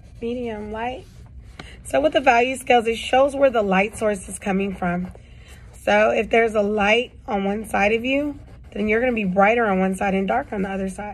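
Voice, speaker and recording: Her voice is somewhat breathy, with ordinary pitch variation. This woman talks at a moderate pace. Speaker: art teacher. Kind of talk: tutorial. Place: classroom. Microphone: phone near.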